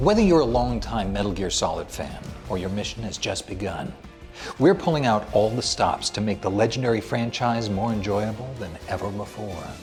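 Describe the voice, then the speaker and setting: Music plays in the background as a man speaks at a moderate pace. His pitch is fairly low, with ordinary variation. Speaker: voice actor. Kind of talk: promotional video game narration.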